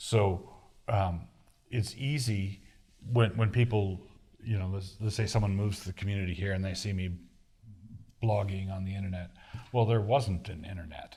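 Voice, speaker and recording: Fairly low in pitch, a man speaks at a moderate pace in a dark, mellow, somewhat breathy tone with fairly even intonation and long, frequent pauses. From US East Coast, Annapolis, Maryland. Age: 60s. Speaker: pastor and author. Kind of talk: Q&A session. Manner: halting, many restarts.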